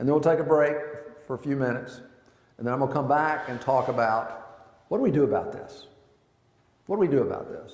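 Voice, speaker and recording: Amid audible room echo, a man with a fairly high pitch speaks at a very fast pace broken by long, frequent pauses. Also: ordinary pitch variation. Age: 60s. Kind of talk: talk to a men's group. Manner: conversational.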